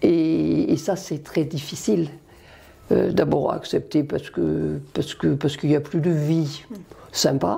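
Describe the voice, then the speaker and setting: The woman's speech unfolds at a very slow pace. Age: 70s. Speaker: cancer patient and volunteer. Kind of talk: testimony. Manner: halting, with many hesitations.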